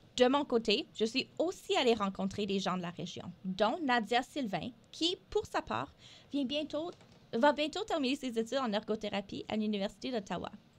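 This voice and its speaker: Pitch swings very widely throughout, delivered at a moderate pace. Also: woman, fairly high pitch for a woman. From northern Alberta, Canada (Franco-Albertan). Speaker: radio co-host, health network development officer. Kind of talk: scripted radio show presentation. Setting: radio studio. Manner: hesitant, many filler sounds.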